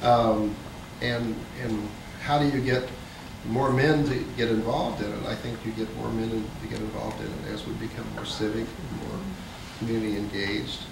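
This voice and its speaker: Over noticeable background noise and audible room echo, a man speaks at a moderate pace with fairly even intonation and long, frequent pauses. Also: medium pitch for a man. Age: 50s. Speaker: nonprofit veteran and teacher, panelist. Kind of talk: panel discussion.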